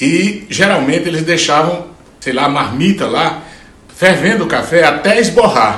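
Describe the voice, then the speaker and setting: A man's high voice with a Ceará accent, ordinary pitch variation and a fairly slow pace, with audible room echo and noticeable background noise. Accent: northeastern Brazilian Portuguese (Ceará). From Brazil, Ceará backlands (Juazeiro do Norte). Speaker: singer-songwriter. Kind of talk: casual interview answer. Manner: halting, with repetitions.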